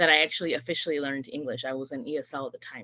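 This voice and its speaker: A bright, sharp tone at a very fast pace on a very clean recording with a silent background. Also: woman. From North County San Diego, California. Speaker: politician. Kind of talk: panel talk.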